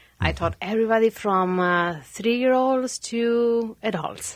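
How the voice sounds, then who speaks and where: Here a woman speaks in a Spanish accent. Her intonation is lively. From Argentina (Santa Fe). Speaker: realtor. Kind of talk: casual chat.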